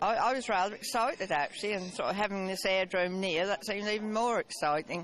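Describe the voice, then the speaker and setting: A woman's medium-pitched voice in a Suffolk accent, very fast with hardly any pauses, very even loudness and ordinary pitch variation. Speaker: retired care home manager. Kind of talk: casual interview. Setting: outdoors at an airfield event.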